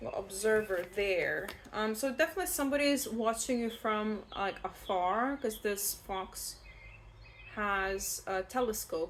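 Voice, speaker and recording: With a non-native accent, a woman speaks at a fairly slow pace, her fairly high pitch showing ordinary variation. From outside the UK, non-English-speaking country. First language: not English. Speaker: tarot reader. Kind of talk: tarot reading. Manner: casual, rambling with fillers.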